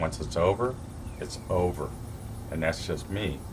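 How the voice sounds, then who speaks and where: Vocal fry comes through with audible room echo. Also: man. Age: 60s. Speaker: vlogger giving relationship advice. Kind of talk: casual monologue to camera. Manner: halting, many fillers and restarts.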